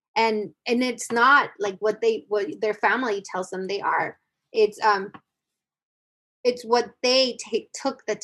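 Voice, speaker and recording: A woman speaks with an American accent in an unremarkable speaking voice. Her pitch sits fairly high, and her pace is fairly slow. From US-Mexico border. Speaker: singer-songwriter and educator. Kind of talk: casual interview.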